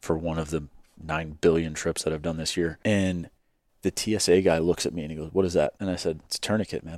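A man with an American accent talks at a very fast pace in a very deep, low voice, his intonation fairly even. The recording is very clean, with a silent background. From Chicago suburbs, US Midwest. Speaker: Marine veteran, business owner. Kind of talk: casual chat.

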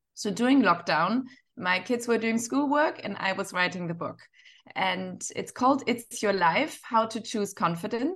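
A woman with a German accent, fairly high pitch, lively intonation and a moderate pace against a quiet background. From Northern Germany. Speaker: fashion entrepreneur and author. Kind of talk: interview.

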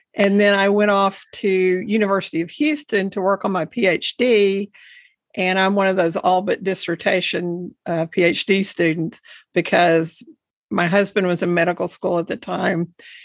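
In a Texan accent, a woman of medium pitch speaks at a moderate pace with fairly even intonation. The recording is very clean, with a silent background and a dry, close sound with no echo. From Texas Panhandle. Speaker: education advocate and podcast host. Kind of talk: interview.

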